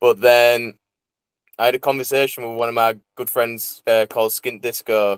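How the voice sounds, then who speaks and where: In a Teesside accent, a man talks at a moderate pace with monotone, flat intonation and a dry, close sound with no echo. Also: medium pitch for a man. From northern England, Teesside (Middlesbrough/Saltburn). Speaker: drum and bass DJ and producer. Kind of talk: casual interview chat.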